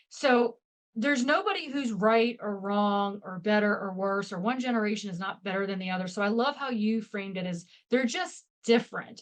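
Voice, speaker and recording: A woman speaks in a normal speaking voice at a fairly high pitch. Her pace is moderate, with ordinary pitch variation. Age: 50s. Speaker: leadership expert. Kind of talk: podcast interview.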